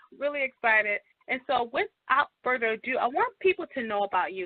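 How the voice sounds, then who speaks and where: Lively intonation marks a woman's high voice as she speaks at a fairly quick pace. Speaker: radio talk show host. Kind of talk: radio interview. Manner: fast.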